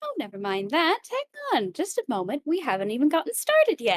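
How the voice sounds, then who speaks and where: High-pitched and at a fairly quick pace, a put-on character voice does the talking. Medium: actual play. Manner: cheerful, coy, theatrical.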